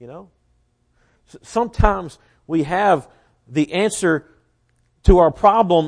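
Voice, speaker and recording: Against a quiet background, a man with a high voice speaks in a Southern US accent with lively intonation. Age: 20s. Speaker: preacher. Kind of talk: sermon. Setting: church.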